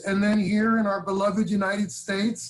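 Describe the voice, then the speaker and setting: Speaking in a New York accent, a man delivers his words at a moderate pace in a high, monotone voice with flat intonation. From New York, Brooklyn and Long Island. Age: 60s. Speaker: advocacy organization leader. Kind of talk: interview conversation.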